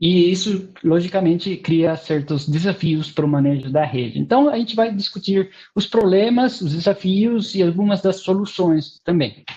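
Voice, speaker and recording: A man's high-pitched voice with a dark, mellow tone, lively intonation, a moderate pace and hardly any pauses. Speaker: university researcher, webinar presenter. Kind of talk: technical webinar lecture. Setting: online webinar. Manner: hesitant, many fillers.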